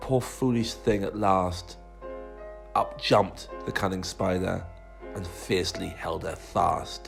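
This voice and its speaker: Against background music, a man talks at a very slow pace. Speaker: primary school teacher. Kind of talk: poetry reading.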